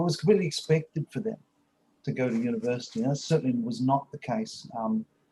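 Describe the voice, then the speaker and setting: Speaking very fast with a New Zealand accent, a man uses a fairly high, somewhat breathy voice with a dark, mellow tone and lively intonation. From New Zealand, South Auckland. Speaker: university professor. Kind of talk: online panel discussion. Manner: hesitant, many fillers.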